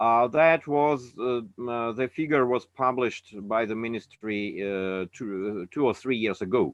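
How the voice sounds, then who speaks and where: A man with a Russian accent talks at a fairly slow pace. His pitch is medium, with ordinary variation. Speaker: anti-nuclear activist. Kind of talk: webinar talk. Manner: halting.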